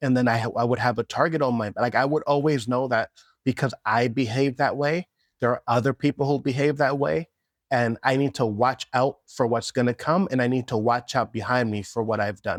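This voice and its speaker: Recorded very cleanly with a silent background and a dry, close sound without echo, a man speaks in an ordinary speaking voice at a medium pitch and moderate pace, with ordinary pitch variation and very even loudness. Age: 30s. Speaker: vlogger. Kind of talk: reflective personal vlog monologue. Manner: casual, reflective.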